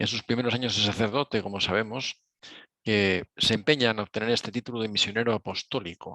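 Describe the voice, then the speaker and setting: A man talks at a fairly quick pace in a bright, sharp tone. The sound is dry and close, with no echo. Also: quiet background. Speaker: speaker on Claretian spirituality. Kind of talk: lecture. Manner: speeds up over time.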